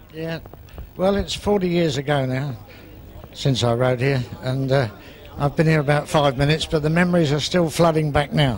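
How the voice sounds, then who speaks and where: Over noticeable background noise, a man with a fairly high pitch and ordinary pitch variation speaks at a moderate pace with long, frequent pauses. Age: 70s. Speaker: retired sidecar racer. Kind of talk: casual interview.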